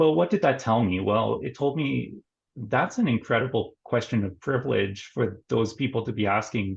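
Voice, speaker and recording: With a Canadian accent, a man speaks at a medium pitch with vocal fry. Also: lively intonation, moderate pace. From Canada, northern Ontario. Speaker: nurse and mental health therapist. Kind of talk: interview conversation.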